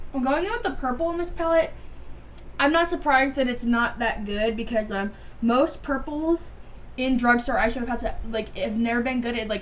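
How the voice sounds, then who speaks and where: Amid noticeable background noise, a woman speaks in a high pitch. Her pitch variation is ordinary. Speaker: beauty vlogger. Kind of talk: casual chat. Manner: rambling, fast casual talk with fillers; stuttering, halting.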